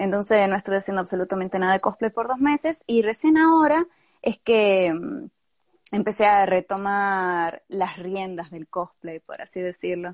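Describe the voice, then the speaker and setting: Using an unremarkable speaking voice at a medium pitch, a woman talks at a moderate pace with lively intonation and big swings in loudness, in a dry, close sound with no echo. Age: 20s. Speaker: cosplayer. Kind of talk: interview. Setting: live video stream.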